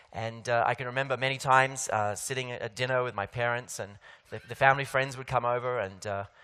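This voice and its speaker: In an Australian accent, a man speaks at a very fast pace with medium pitch. His tone is bright and sharp, and his intonation fairly even. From Australia, Sydney. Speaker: keynote speaker. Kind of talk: conference keynote. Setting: stage with audience. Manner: hesitant, many fillers.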